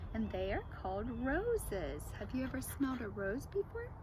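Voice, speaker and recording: A woman's put-on character voice at a moderate pace over loud background noise. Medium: read story. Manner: giggly, playful.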